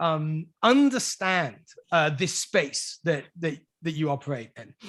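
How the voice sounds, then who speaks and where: With a British accent, a man speaks at a fairly slow pace. His pitch swings very widely. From United Kingdom. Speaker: podcast host. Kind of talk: interview. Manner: halting.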